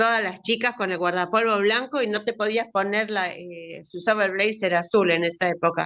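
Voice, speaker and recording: With an Argentine accent, a woman talks at a moderate pace with hardly any pauses, her medium pitch held in fairly even intonation. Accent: Rioplatense Argentine Spanish. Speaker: writing workshop participant. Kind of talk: casual chat.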